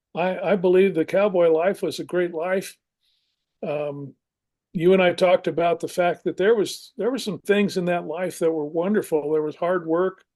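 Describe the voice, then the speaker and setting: Against a quiet background, a man speaks at a high pitch and a moderate pace. His intonation stays fairly even. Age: 70s. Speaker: retired pastor and writer. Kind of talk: radio interview.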